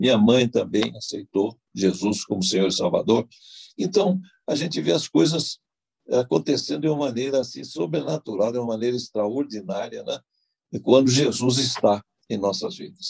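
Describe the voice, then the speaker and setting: A man with a medium pitch and vocal fry talks at a moderate pace with very wide pitch swings, in a dry, close sound with no echo. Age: 80s+. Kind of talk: testimony. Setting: online video event. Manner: halting, many fillers.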